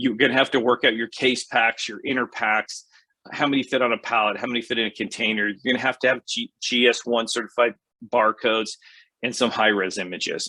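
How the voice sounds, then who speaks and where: A man's bright, sharp voice, monotone and flat, at a fairly quick pace. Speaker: podcast host, retail consultant. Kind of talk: solo podcast advice talk. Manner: fast; casual, many filler words.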